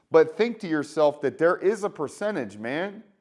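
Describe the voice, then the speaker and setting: A man talks at a fairly quick pace in a fairly high pitch. His tone is animated, with lively intonation. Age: 30s. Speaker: healthcare worker, vlogger. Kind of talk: motivational monologue. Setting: garage. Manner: casual, animated.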